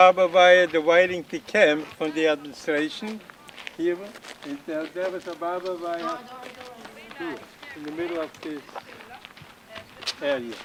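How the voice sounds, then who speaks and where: The voice moves at a moderate pace with long, frequent pauses, big swings in loudness and ordinary pitch variation, all against noticeable background noise. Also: man, high pitch for a man. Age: 90s. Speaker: former internee giving a tour. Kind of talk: guided site tour. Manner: halting.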